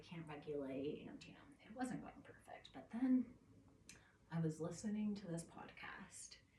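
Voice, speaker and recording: With audible room echo, a woman speaks at a moderate pace in a somewhat breathy, fairly low voice. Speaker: vlogger. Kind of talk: casual monologue. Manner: rambling, halting.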